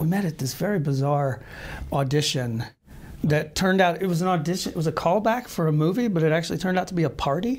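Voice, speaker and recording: At a fairly quick pace, a man with an American accent talks in a fairly high pitch with ordinary pitch variation. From US South (Marietta, Georgia). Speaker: actor and writer. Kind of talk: interview. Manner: hesitant, many fillers.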